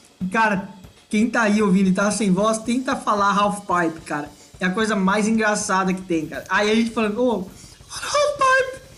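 Over background music and audible room echo, a man talks at a moderate pace in a high voice with fairly even intonation. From Brazil, Ibiúna (São Paulo state). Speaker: podcast co-host. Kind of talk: casual chat.

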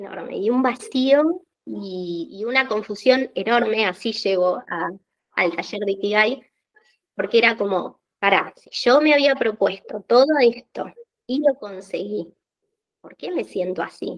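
With a Rioplatense accent, a woman speaks in a fairly high pitch with lively intonation and big swings in loudness. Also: fairly slow pace. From Argentina. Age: 30s. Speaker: office worker and small business owner. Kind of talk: interview.

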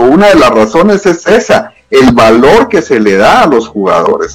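This man has a high pitch and talks at a fairly slow pace. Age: 50s. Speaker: football fan and former acquaintance of the player. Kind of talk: casual chat.

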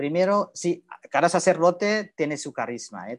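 Against a quiet background, a man talks fairly slowly in a high pitch with lively intonation. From Indonesia. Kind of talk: casual interview.

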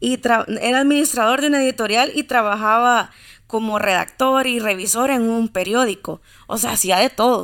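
A woman's fairly high voice with a Salvadoran accent, at a moderate pace, with fairly even intonation. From El Salvador, Santa Ana. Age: 20s. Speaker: literature enthusiast. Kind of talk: casual interview chat.

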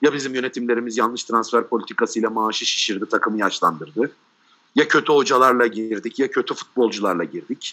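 Bright and sharp in tone, a man with medium pitch talks at a fairly quick pace. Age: 30s. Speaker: football pundit. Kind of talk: casual chat.

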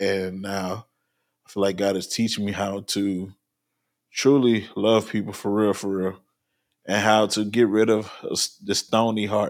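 A man with an American accent talks fairly slowly at a fairly low pitch. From New Orleans, US South. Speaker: podcast host. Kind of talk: casual chat. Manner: animated.

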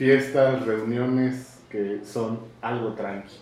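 With a Mexican accent, a man at medium pitch speaks very slowly with fairly even intonation, in audible room echo and noticeable background noise. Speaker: podcast host. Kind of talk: casual chat.

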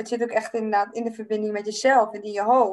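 Speaking at a fairly quick pace, a woman uses a plain, everyday voice with a fairly high pitch. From Friesland, Netherlands. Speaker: podcast host and life coach. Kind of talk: casual chat.

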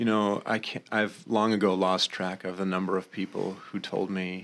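In a very clean recording with a silent background, a man with a plain, everyday voice and an American accent speaks at a moderate pace, his pitch fairly low and his intonation fairly even. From Maine, US. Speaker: pastor and musician. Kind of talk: podcast interview.

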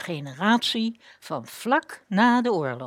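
Very wide pitch swings mark this woman's speech. Her recording is very clean, set against a silent background. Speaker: radio host. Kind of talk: scripted narration. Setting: studio. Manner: formal.

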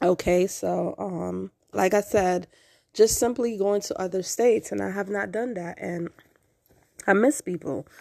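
A woman speaks at a fairly slow pace with an American accent, a medium pitch and ordinary pitch variation. Her tone is dark and mellow, and the recording is very clean with a silent background. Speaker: podcast host. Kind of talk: personal monologue.

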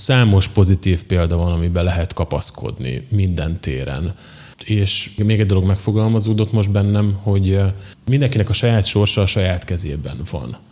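A man speaks at a moderate pace with a fairly low pitch and ordinary pitch variation. His tone is dark and mellow, and somewhat breathy. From southern Slovakia, Hungarian minority (Nagykapos). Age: 30s. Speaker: entrepreneur, company director. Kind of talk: interview. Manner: halting, with frequent repetitions.

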